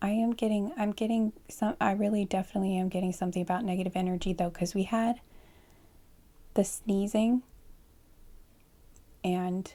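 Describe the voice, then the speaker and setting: A soft-spoken woman talks at a moderate pace and medium pitch, with long, frequent pauses. Her tone is dark and mellow, with very even loudness and fairly even intonation. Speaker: tarot card reader. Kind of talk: pick-a-card tarot reading for sleep.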